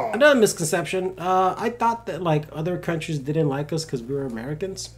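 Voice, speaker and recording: A man with a Spanish accent, an animated tone, very wide pitch swings and a fairly quick pace. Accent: faint Spanish-tinged. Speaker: podcast co-host. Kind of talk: casual chat.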